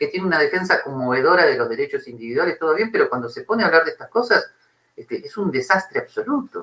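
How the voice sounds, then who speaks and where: A man talks at a very fast pace. He has an Argentine accent. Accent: Argentine Spanish (Rioplatense). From Argentina. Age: 60s. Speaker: philosophy professor. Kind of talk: interview conversation. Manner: animated.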